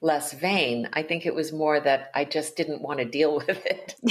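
A woman with an American accent speaks at a moderate pace. Her pitch is very deep and low. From US East Coast, Connecticut. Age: 60s. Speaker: novelist and Zen Buddhist priest. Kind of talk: interview conversation.

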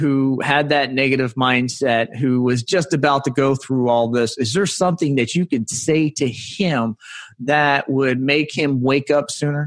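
Against a quiet background, a man speaks at a very slow pace with a fairly high pitch and ordinary pitch variation. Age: 50s. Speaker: podcast host. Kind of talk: interview chat; scripted intro.

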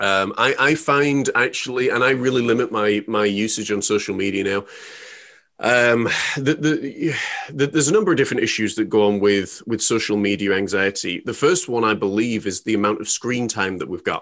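With a plain, everyday voice, a man talks at a moderate pace and medium pitch, showing ordinary pitch variation. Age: 30s. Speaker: life coach. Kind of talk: casual chat.

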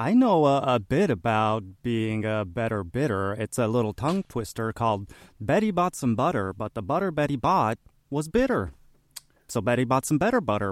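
A man with an ordinary speaking voice speaks at a medium pitch and moderate pace with lively intonation. The recording is very clean, with a silent background and a dry, close sound with no echo. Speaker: comedic character, storage business owner. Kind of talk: improvised comedy character.

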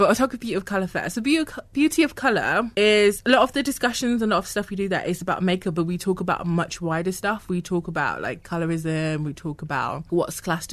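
Rattling along at a very fast pace with hardly any pauses, a woman uses lively intonation in a fairly low voice. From Ghana. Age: 20s. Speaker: student and activist. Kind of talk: casual chat. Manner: animated.

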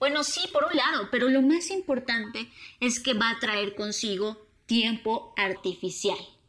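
This woman has an unremarkable speaking voice, fairly high in pitch, with lively intonation and a moderate pace. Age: 30s. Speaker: conference speaker. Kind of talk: public talk.

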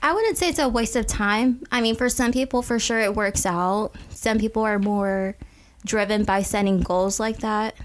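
A woman with a plain, everyday voice speaks at a fairly high pitch and moderate pace, with ordinary pitch variation and very even loudness. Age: 20s. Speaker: podcast co-host. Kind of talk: casual chat.

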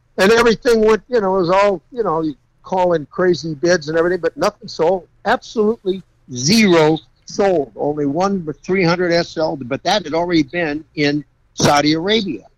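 A high male voice at a moderate pace, with ordinary pitch variation and a dry, close sound with no echo. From California. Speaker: custom car builder. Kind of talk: casual interview. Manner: animated.

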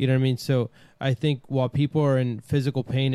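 A dark, mellow tone with a Brooklyn accent at a fairly quick pace, in a very clean, dry, close recording with no echo and a silent background. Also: man. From New York City, Brooklyn. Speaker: podcast host. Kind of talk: casual chat.

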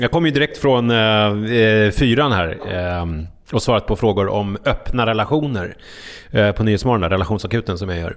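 A man talks at a moderate pace. His pitch is fairly low, with ordinary pitch variation. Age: 40s. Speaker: podcaster and TV relationship panelist. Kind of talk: casual chat. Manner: halting.

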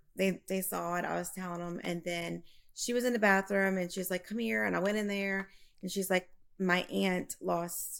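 Moderate pace from a woman with a Louisiana accent, on a very clean recording with a silent background. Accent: Southern US (Louisiana). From Louisiana, US South. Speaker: reading client, bereaved mother.

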